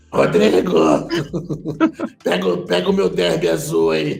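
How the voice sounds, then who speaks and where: In a put-on character voice, a man speaks with a raspy, very deep, low pitch. He goes at a fairly slow pace with audible echo. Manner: calling out loudly.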